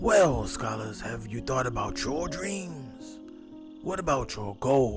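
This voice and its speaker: Over clear background music, a man does a put-on character voice at a medium pitch and a fairly slow pace. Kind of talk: children's story time host. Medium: read story. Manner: warm, encouraging, repeats a pet form of address.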